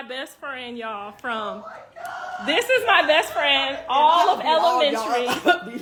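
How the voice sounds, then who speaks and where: Against noticeable background noise, a woman with a raised, projected voice speaks fairly slowly at a high pitch with very wide pitch swings. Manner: lifelong voice, not a cold; chatty, addresses audience directly.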